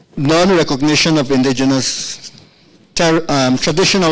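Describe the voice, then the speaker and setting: Room echo can be heard clearly. This man talks at a fairly high pitch. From Guyana. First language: Akawayo. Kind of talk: conference speech. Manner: slow.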